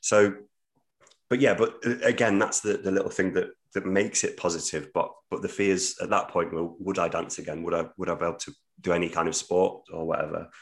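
A man with a British accent at a fairly quick pace. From English Midlands. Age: 30s. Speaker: theatre producer. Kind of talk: podcast interview.

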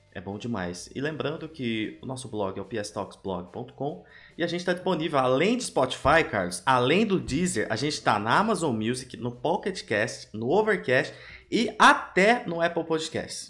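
Vocal fry from a man with a fairly high pitch, at a moderate pace, with very wide pitch swings. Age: 30s. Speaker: podcast host. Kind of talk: casual chat.

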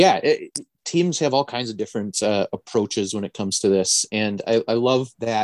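A man with an Upper Midwest accent speaks at a moderate pace in a medium pitch with ordinary variation, the sound dry and close with no echo. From northern Wisconsin. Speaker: baseball podcast co-host. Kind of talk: casual chat.

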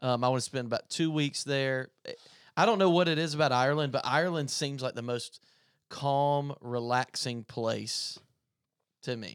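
At a moderate pace, a man with an American accent speaks in an unremarkable speaking voice, fairly high in pitch with ordinary pitch variation. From US South, upstate South Carolina. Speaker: worship pastor. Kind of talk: casual chat.

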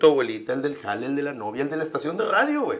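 Noticeable background noise runs under a man speaking fairly quickly. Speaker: stand-up comedian. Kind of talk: casual chat.

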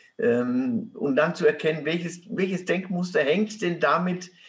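This man's voice sits high for a man, moving at a fairly slow pace with ordinary pitch variation. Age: 70s. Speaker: author and activist. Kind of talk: interview. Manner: halting, many fillers.

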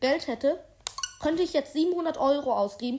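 Over noticeable background noise, a high-pitched woman speaks fairly slowly with lively intonation. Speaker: gaming podcaster. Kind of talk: let's play commentary. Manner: halting.

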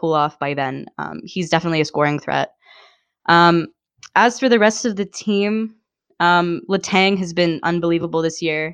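A woman's unremarkable speaking voice with an American accent, fairly low in pitch, at a moderate pace with ordinary pitch variation, over a quiet background. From western Pennsylvania, US. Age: 20s. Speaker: hockey blogger. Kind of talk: casual chat.

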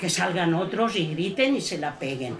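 A woman's fairly low voice at a fairly slow pace, with audible room echo and noticeable background noise. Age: 70s. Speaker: audience member. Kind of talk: audience testimony. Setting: bookshop event with audience.

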